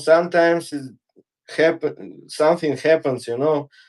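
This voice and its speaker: The speaker is a man at a fairly high pitch. He talks at a fairly slow pace. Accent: non-native. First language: not English. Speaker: fitness guest. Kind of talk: casual chat during workout livestream. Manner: halting.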